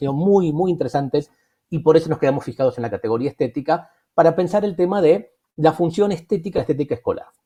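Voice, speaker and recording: A man's very fast speech, dark and mellow in tone, fairly high in pitch, with lively intonation. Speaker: education researcher. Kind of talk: lecture.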